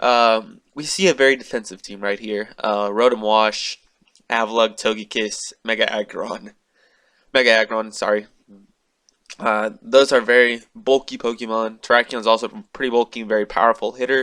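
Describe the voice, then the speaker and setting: Big swings in loudness mark this man's bright, sharp tone, set at a medium pitch with fairly even intonation. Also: moderate pace. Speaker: gaming YouTuber. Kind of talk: gaming commentary. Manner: halting, many fillers.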